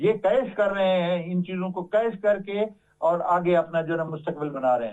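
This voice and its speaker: This man speaks at a moderate pace with a high pitch and ordinary pitch variation. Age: 60s. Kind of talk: TV interview. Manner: halting.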